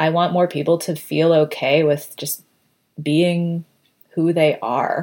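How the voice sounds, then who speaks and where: Fairly low pitch from a woman, with fairly even intonation at a very slow pace. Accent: American. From US Northeast, Connecticut. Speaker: product designer and writer. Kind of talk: interview conversation. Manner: chatty.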